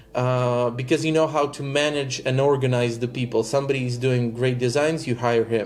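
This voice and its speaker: A medium-pitched man at a fairly quick pace, monotone and flat, with hardly any pauses and noticeable background noise. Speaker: digital marketing agency owner. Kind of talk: coaching session.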